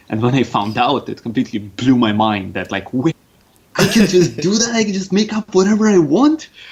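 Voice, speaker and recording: A fairly quick man's voice with a slight Russian accent, fairly high pitch and very wide pitch swings over noticeable background noise. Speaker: game designer. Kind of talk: podcast interview.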